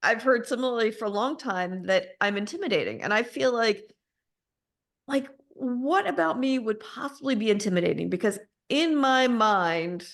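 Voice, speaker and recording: With an American accent, a woman speaks at a moderate pace in a fairly high pitch with lively intonation. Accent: Alabama accent, comes out sometimes. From US South, Alabama. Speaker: podcast host. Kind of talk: casual interview chat.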